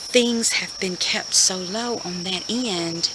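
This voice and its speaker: Against noticeable background noise, a woman whispers quietly. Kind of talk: casual talk to camera. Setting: recorded at home, quietly so neighbors wouldn't hear. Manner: whispered, hushed.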